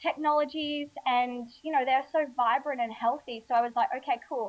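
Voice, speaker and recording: A high-pitched woman's voice in an Australian accent, moderately paced, with fairly even intonation. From Australia, Alice Springs. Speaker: healthy eating author and blogger. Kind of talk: casual interview chat.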